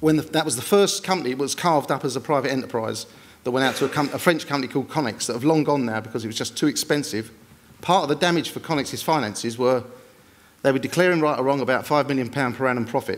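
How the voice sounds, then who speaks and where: A man's pitch varies in an ordinary way as he speaks at a very fast pace. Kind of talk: panel presentation. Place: stage. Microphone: podium.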